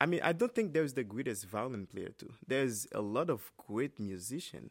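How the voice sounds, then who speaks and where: Heard on a very clean recording with a silent background, a man with a Haitian accent speaks at a moderate pace and a medium pitch. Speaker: trumpet player. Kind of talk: interview. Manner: halting.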